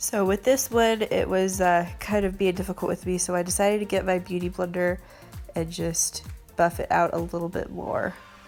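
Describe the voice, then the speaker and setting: Music plays in the background. A woman with an American accent speaks at a moderate pace. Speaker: makeup artist. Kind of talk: makeup tutorial talk to camera. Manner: casual, chatty.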